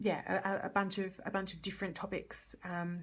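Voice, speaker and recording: A woman with a medium pitch talks in an Australian accent. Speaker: community legal worker. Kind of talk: live Q&A. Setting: Facebook live stream. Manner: fast.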